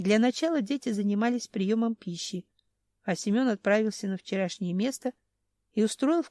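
An unforced reading voice with ordinary pitch variation sounds against a quiet background.

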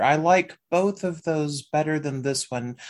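Over a quiet background, a man with a normal speaking voice and a fairly high pitch talks at a fairly slow pace with ordinary pitch variation. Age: 40s. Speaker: podcast co-host. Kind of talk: casual chat.

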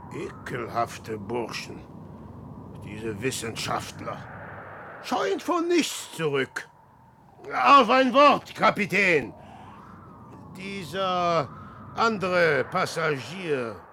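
A man does a put-on character voice, very slow with long, frequent pauses and big pitch swings. His tone is bright and sharp, with a slightly husky edge and vocal fry. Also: fairly high pitch for a man.

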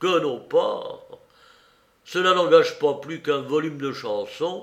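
Putting on a character voice, a man speaks slowly at a fairly high pitch, with a fairly bright tone and lively intonation.

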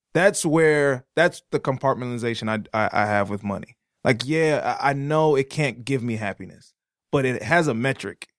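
A man with an American accent and a normal speaking voice talks at a moderate pace and medium pitch, with ordinary pitch variation, in a dry, close sound with no echo. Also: very clean recording, silent background. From Detroit area, Michigan. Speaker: podcast co-host. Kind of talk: casual conversation. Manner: run-on speech with many repetitions and fillers.

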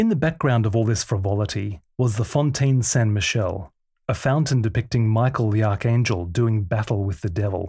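On a very clean recording with a silent background, a man with a dark, mellow tone, somewhat breathy, speaks at medium pitch and a moderate pace with ordinary pitch variation and very even loudness. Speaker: podcast host and author. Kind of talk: audiobook reading of his own book, literary first-person storytelling. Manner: measured, warm, reflective narration; gentle and inspirational, with a sincere tone.

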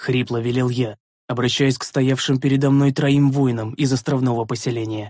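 Intonation in this natural reading voice is fairly even. Nothing much sounds behind it.

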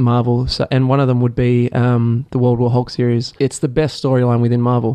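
A man with an Australian accent talks at a fairly quick pace with hardly any pauses. His medium-pitched voice is monotone, with flat intonation. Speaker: PhD student in marine science. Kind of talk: casual interview. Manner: hesitant, many fillers.

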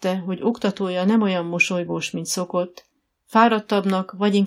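Quiet surroundings behind plain reading aloud

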